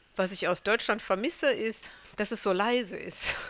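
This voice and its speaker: Her pitch fairly high and her tone bright and sharp, a woman speaks at a moderate pace with fairly even intonation. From Germany. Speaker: mother, interviewee. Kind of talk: interview.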